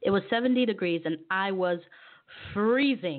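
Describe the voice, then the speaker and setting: This is a woman speaking with an American accent. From Ivory Coast (Abidjan), later US. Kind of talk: faith talk monologue; reading aloud personal memoir. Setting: online radio studio.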